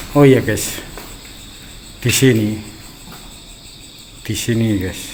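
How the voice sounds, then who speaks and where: A man speaks at a very slow pace with fairly even intonation. Audible room echo and noticeable background noise come through. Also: medium pitch for a man. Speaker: horror explorer vlogger. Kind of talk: walkthrough vlog narration. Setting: exploring an abandoned house.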